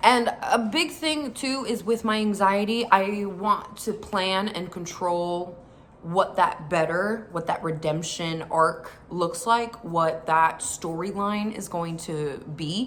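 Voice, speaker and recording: Lively in intonation and medium in pitch, a woman speaks at a very slow pace. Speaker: faith vlogger. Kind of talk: personal vlog talk. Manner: casual, filler-heavy.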